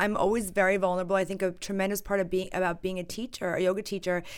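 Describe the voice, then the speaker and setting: A woman at medium pitch talks at a very fast pace. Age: 30s. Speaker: yoga teacher. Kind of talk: casual chat.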